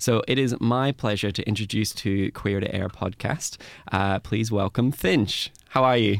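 A man with an Australian accent talks at a fairly slow pace. His pitch is fairly low, with ordinary variation. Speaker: podcast host. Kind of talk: casual interview. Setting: studio.

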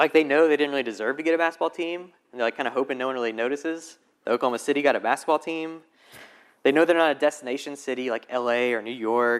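A man with a Southern US accent, fairly high pitch and ordinary pitch variation, at a very fast pace. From Alabama, US South. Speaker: guest preacher. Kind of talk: sermon. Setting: church. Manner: casual.

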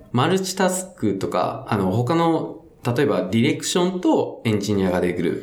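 Noticeable background noise and audible room echo surround a man with a fairly high pitch. He talks at a moderate pace with very wide pitch swings and hardly any pauses. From Fukuoka, Itoshima. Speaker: game developer. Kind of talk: casual podcast interview.

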